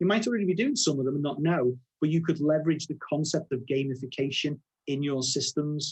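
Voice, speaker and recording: With a Liverpool accent, a man with a fairly high, somewhat breathy voice and ordinary pitch variation talks at a very fast pace. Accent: Scouse. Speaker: software product director. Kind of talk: webinar presentation. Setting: live webinar.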